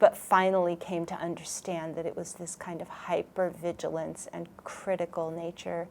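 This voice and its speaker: A woman speaks at a fairly low pitch and a fairly slow pace. Her intonation is monotone and flat. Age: 60s. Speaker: workshop participant sharing testimony. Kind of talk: testimony. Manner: halting, many fillers.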